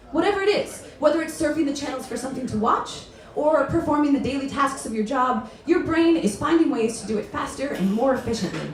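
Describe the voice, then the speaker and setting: A woman talks at a very fast pace in a high voice with very wide pitch swings. Noticeable background noise runs underneath. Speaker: spoken word poet. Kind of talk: spoken word poetry performance. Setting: live stage.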